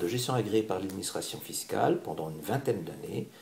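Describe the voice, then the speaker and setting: A man speaks with lively intonation and a fairly quick pace while noticeable background noise fills the recording. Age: 60s. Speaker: candidate for community organization president. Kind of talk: interview. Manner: calm.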